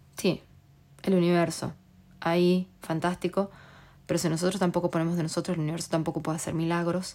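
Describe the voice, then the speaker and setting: A woman talks in a fairly low voice with a dark, mellow tone. Her intonation is monotone and flat. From Argentina. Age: 30s. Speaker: podcast host. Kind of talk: casual monologue.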